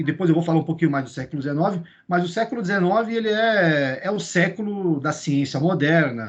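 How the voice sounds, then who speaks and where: A man speaks at a high pitch with lively intonation. His pace is fairly quick, with hardly any pauses. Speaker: teacher trainer. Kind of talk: lecture. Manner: fast; halting.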